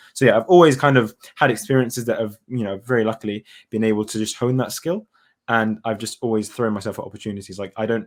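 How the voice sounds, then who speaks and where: Very clean and silent in the background, the recording captures a man talking very fast at a medium pitch with ordinary pitch variation. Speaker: dental student. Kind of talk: casual interview chat. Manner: confident.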